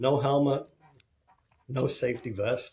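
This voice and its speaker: With an American accent, a man of medium pitch sounds somewhat breathy with a dark, mellow tone. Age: 60s. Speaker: construction executive and mental health advocate. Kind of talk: podcast interview.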